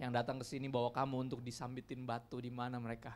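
The man speaks with fairly even intonation. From Indonesia. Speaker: pastor. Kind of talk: sermon. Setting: church. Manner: casual, conversational. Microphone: handheld.

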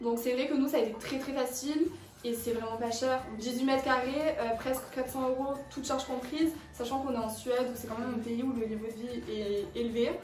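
There is audible room echo and light background noise as a woman speaks. Her pitch is high, in a Marseille accent. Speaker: business school student. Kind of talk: casual talk to camera. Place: home room. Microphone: camera far.

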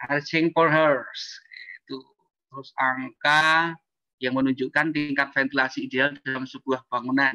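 Fairly high and bright, sharp in tone, a man's voice moves at a fairly slow pace with monotone, flat intonation. The recording is dry with no echo and the background quiet. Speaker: architect. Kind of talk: presentation with slides. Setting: video call. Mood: concerned in closing part. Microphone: bad connection, keeps cutting out; video call.

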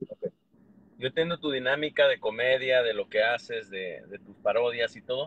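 A man at a moderate pace, with ordinary pitch variation, big swings in loudness and a dry sound with no echo. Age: 40s. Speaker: YouTuber. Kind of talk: casual chat. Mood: calm, reconciling. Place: car. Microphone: phone near.

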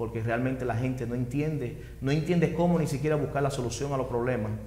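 Audible room echo is present around a man's voice. He speaks at a medium pitch with fairly even intonation. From Dominican Republic, Maimón de Bonao; Dominican Republic. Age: 40s. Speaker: interviewee. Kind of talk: testimony. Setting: at home. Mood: earnest, reflective. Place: studio. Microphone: lapel.

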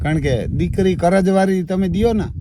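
A man is speaking. His tone is dark and mellow. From Gujarat, Barda region (Saurashtra). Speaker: farmer. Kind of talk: casual chat.

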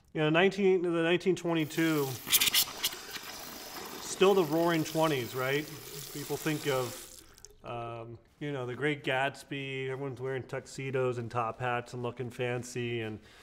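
A man with long, frequent pauses over noticeable background noise. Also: ordinary pitch variation, moderate pace. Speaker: shaving reviewer. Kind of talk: tutorial. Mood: relaxed, cheerful. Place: studio.

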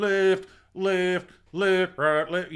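Here a man uses a put-on character voice with a high pitch. His intonation is monotone and flat. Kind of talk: military. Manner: barking, rhythmic cadence.

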